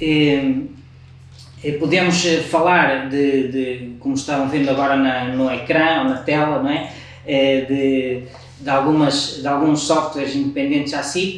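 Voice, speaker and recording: A man with a fairly high pitch speaks at a fairly slow pace in a monotone, flat intonation, with long, frequent pauses. Audible room echo and noticeable background noise fill the recording. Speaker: software developer presenter. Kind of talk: webinar presentation. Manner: halting, many repetitions.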